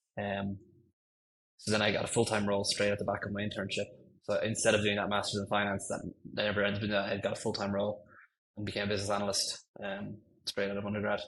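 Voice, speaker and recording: Talking at a very fast pace yet with long, frequent pauses, a man with an Irish accent keeps a fairly low pitch and a monotone, flat intonation. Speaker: senior ML engineer. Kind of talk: podcast interview. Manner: hesitant, many fillers.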